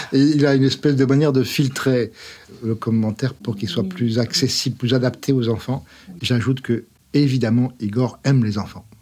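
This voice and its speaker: At a moderate pace, a man talks with fairly even intonation, a medium pitch and a dark, mellow tone. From France. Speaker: scientist, academy secretary. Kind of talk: interview. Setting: studio.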